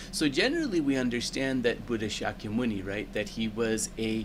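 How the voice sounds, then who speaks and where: Lively intonation at a moderate pace, with hardly any pauses. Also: man. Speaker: dharma teacher and translator. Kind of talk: teaching commentary. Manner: soft-spoken. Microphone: microphone setting makes voice quiet.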